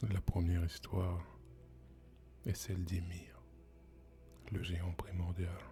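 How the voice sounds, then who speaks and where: Against music in the background, the speaker uses a calm tone at a very slow pace, with long, frequent pauses. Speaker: ASMR storyteller. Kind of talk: ASMR storytelling, mythology narration. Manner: soft-spoken, calm.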